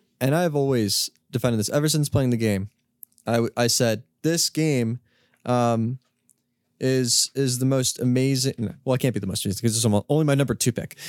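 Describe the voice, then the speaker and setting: A man speaks at a fairly quick pace in an unremarkable speaking voice, medium-pitched with ordinary pitch variation, recorded with a dry, close sound and no echo. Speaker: podcast host. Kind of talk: casual chat.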